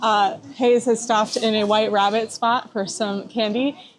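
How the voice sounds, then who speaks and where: A woman speaks over noticeable background noise. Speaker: travel vlogger. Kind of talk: vlog narration. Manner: fast.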